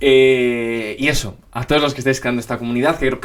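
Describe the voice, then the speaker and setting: A man with a Spanish accent, medium in pitch, at a moderate pace and with fairly even intonation. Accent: Peninsular Spanish. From Spain. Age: 20s. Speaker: YouTuber, NBA commentator. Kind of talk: casual Q&A chat to camera. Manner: casual, lots of fillers.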